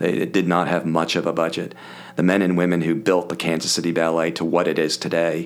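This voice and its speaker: A man's very deep, low voice in a monotone, flat intonation, with very even loudness. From Philadelphia area, US. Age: 60s. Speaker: podcast guest, business coach. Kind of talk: casual interview chat.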